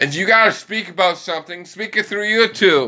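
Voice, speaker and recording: With a bright, sharp tone, a man speaks at a high pitch in a raised, projected voice. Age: 20s. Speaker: podcaster. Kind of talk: solo monologue rant. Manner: rambling with frequent fillers.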